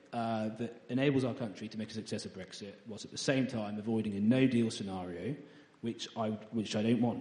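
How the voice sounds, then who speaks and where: Amid audible room echo, a man of medium pitch speaks at a fairly quick pace with fairly even intonation and big swings in loudness. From East Anglia, England. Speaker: parliamentary candidate. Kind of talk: interview. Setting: church. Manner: halting.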